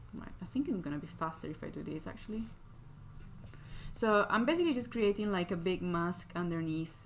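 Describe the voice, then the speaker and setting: A woman's fairly low-pitched voice with a non-native accent, fairly quick pace, long and frequent pauses, and big swings in loudness. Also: ordinary pitch variation. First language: not English. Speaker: digital artist streamer. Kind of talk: live stream drawing tutorial chat. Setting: live stream with chat. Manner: casual, many fillers and hesitations.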